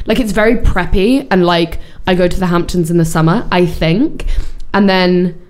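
With music playing in the background, a woman speaks at a medium pitch and moderate pace. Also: ordinary pitch variation, very even loudness. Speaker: podcast co-host. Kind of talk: casual chat.

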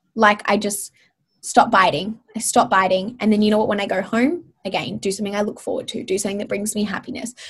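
A woman's medium-pitched, somewhat breathy voice with an Australian accent, very fast pace and fairly even intonation. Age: 20s. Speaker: wellness author and social media creator. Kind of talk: casual interview.

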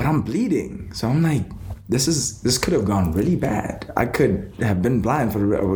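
Noticeable background noise sits behind the speech. A man talks with lively intonation. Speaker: plant-based advocate and entrepreneur. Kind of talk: casual podcast interview. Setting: studio.

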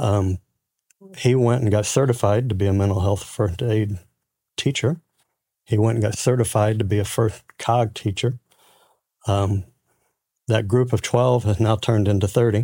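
A man's somewhat breathy voice, dark and mellow in tone, with fairly even intonation and long, frequent pauses, in a very clean recording with a silent background. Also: fairly low pitch for a man, moderate pace. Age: 60s. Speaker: construction company president. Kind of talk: interview, personal testimony.

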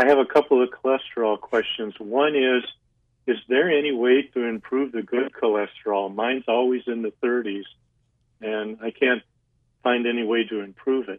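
Speaking at a moderate pace, this man keeps his intonation fairly even. He has an ordinary speaking voice at medium pitch. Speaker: radio caller. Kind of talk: call-in question to radio doctor. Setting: phone call.

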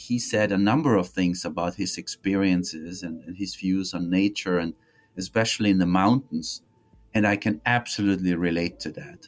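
A man speaks with an Austrian accent. His very deep, low pitch has ordinary variation. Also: moderate pace. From Austria, Tyrol. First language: German. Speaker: history professor. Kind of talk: interview. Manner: reflective.

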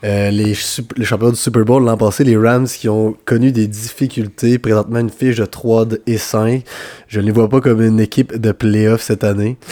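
A man speaks at a medium pitch in a dark, mellow tone. His intonation is monotone and flat. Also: moderate pace. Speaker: football podcast co-host. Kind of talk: casual chat.

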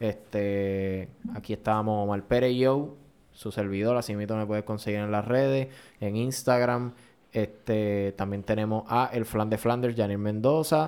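Using a normal speaking voice, a man speaks at a fairly slow pace with fairly low pitch and fairly even intonation. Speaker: podcast host. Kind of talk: casual chat.

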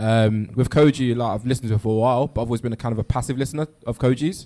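With a London accent, a man speaks very fast at a medium pitch, his tone dark and mellow and his intonation fairly even. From London, Ghanaian family. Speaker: listening party participant. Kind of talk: group discussion. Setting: live event with sound system.

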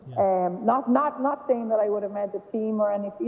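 Over noticeable background noise, the speaker rushes along at a very fast pace in a western Irish accent, with ordinary pitch variation. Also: woman. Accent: Irish (west of Ireland). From Ireland, Galway. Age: 30s. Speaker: camogie manager and former goalkeeper. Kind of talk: casual interview chat. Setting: phone call.

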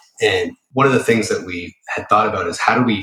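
The speaker has an American accent. He is a man talking at a fairly quick pace. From Boston area, Massachusetts. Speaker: former Secret Service agent, cybersecurity entrepreneur. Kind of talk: interview.

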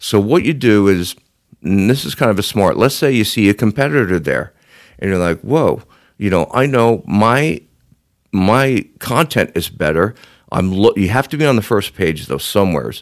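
A man speaks in a plain, everyday voice, fairly low in pitch, at a moderate pace. His intonation is lively, and the recording is very clean with a silent background. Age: 60s. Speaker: SEO agency CEO. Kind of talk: interview.

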